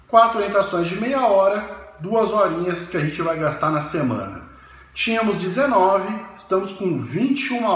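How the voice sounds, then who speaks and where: Amid noticeable background noise and audible room echo, a man speaks in a high pitch with lively intonation. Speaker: university professor. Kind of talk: educational talk. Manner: halting.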